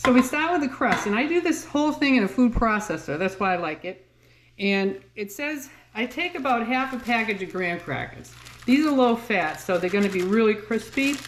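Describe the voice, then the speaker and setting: A woman speaks with a Massachusetts accent at a fairly high pitch. Her pace is moderate and her pitch swings very widely. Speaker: home cooking channel creator. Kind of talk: cooking tutorial. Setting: home kitchen. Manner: casual, hesitant with fillers.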